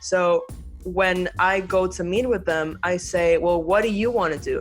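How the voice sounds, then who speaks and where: A woman speaks at a medium pitch with fairly even intonation and very even loudness. Her pace is fairly slow, and music plays in the background. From Venezuela. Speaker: architect and university professor. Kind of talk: podcast interview answer. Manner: casual, conversational.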